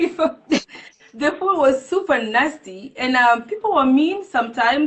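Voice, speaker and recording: A woman speaks at a moderate pace with lively intonation. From Kenya. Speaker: community organization founder. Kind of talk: interview.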